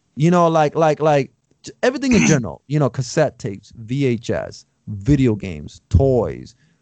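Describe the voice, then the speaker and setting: Dry and close with no echo, a man's unremarkable speaking voice moves at a moderate pace with medium pitch and lively intonation. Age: 30s. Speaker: podcast host. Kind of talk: casual chat.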